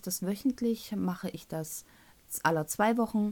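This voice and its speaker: A woman with a Thuringian accent at a medium pitch, dark and mellow in tone, on a very clean recording with a silent background. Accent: Thuringian dialect, picked up. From North Rhine-Westphalia, Germany. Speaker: podcast host. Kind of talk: casual solo podcast monologue.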